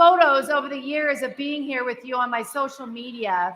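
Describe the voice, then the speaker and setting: A loud, high-pitched woman's voice, bright and sharp in tone, at a moderate pace with audible room echo. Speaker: radio host and event emcee. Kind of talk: awards ceremony speech. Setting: stage with audience, in the round. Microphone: echoey.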